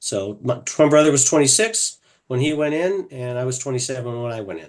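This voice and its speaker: At a fairly quick pace, a man with an ordinary speaking voice talks with lively intonation and big swings in loudness. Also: medium pitch for a man. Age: 60s. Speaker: fraternal organization officer. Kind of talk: interview.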